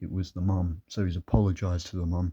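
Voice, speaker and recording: Over a quiet background with a dry, close sound and no echo, a man with a very deep, low pitch and dark, mellow tone speaks at a moderate pace, his voice shaky and his intonation monotone and flat. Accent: British. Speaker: vlogger. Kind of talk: personal storytelling monologue.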